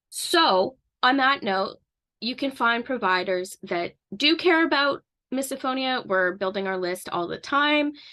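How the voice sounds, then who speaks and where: A woman with a Canadian accent uses a raised, projected voice with a bright, sharp tone, a high pitch and very wide pitch swings, speaking at a fairly slow pace in a quiet background. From Canada. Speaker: misophonia advocate and counseling student. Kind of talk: informal educational talk to camera.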